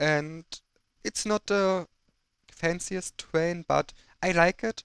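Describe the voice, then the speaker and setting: A man with a German accent talks at a very slow pace, his pitch high and his intonation fairly even. The sound is dry and close, with no echo. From Germany. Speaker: gaming video creator. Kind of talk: gameplay commentary. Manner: halting.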